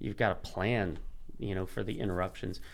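Vocal fry runs through a man's fairly quick speech, his intonation fairly even. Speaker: pastor. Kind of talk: casual interview chat.

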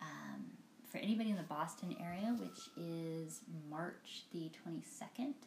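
A woman speaks fairly slowly in a fairly low pitch, somewhat breathy. Her intonation is lively, and the room echo is audible. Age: 40s. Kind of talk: casual interview.

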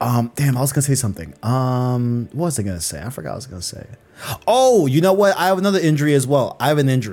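A medium-pitched man talks at a very fast pace in an animated tone, his pitch swinging very widely and his loudness rising and falling sharply. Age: 20s. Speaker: gaming podcast host. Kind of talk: casual chat, podcast. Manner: animated, talks fast, chatty.

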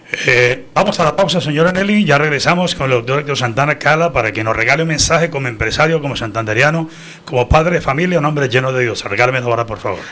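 A man talks at a very fast pace with a fairly high pitch. Noticeable background noise runs behind him. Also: ordinary pitch variation. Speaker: radio news director and host. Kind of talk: radio news show. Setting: studio. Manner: animated.

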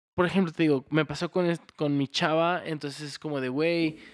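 A man speaks in a normal speaking voice at a fairly high pitch and a moderate pace, on a very clean recording with a silent background and a dry, close sound with no echo. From Houston, Texas. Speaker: podcast host. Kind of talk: casual chat.

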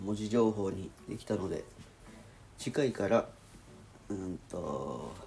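Pausing long and often, a man speaks very slowly at a fairly low pitch with ordinary pitch variation. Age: 30s. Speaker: video diary vlogger. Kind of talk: casual solo vlog, music chord analysis. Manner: halting, thinking aloud.

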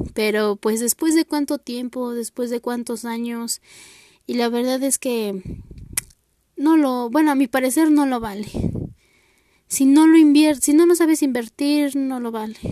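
A woman with a high pitch and a dark, mellow tone speaks fairly slowly with ordinary pitch variation and long, frequent pauses, in a dry, close sound with no echo. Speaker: university student presenting an assignment. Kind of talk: class presentation monologue. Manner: halting, many fillers.

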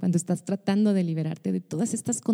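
Dry and close with no echo, this recording features a woman with a fairly low pitch. Her dark, mellow tone comes through somewhat breathy. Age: 30s. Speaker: podcast host, pastor and singer. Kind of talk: personal podcast monologue.

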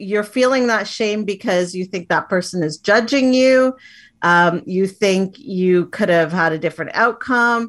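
With a plain, everyday voice at a medium pitch, a woman speaks at a fairly slow pace with ordinary pitch variation on a very clean recording with a silent background. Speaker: life empowerment coach. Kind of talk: coaching talk in interview.

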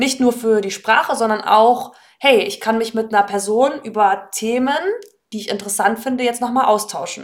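This woman has an ordinary speaking voice with fairly high pitch. Her intonation is fairly even and her pace moderate. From northern Germany, Hannover. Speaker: German language teacher. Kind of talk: casual interview.

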